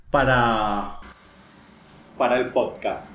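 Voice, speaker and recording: A man's voice carries audible room echo. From Paraguay. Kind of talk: personal monologue, confessional. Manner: halting, repeats words.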